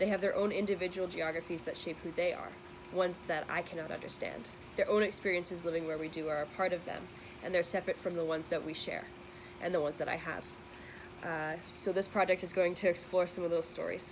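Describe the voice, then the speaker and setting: Amid noticeable background noise, a woman speaks at a very fast pace in a monotone, flat delivery with a fairly low pitch. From western Canada, Metro Vancouver. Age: 20s. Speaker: university student. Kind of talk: scripted narration.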